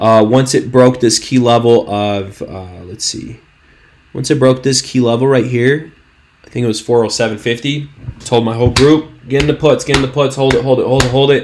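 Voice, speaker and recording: A man's medium-pitched, animated voice at a moderate pace, with noticeable background noise. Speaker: stock trading YouTuber. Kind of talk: market analysis video. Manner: stuttering, halting; casual, animated.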